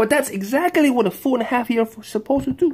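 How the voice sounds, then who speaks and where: A man's moderately paced speech, pitch swinging very widely. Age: 30s. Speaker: father with Tourette syndrome. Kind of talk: casual talk to camera.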